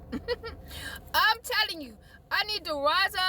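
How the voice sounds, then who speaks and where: Amid noticeable background noise, a woman sounds animated, her voice raised and projected. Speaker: video blogger. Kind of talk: emotional rant to camera.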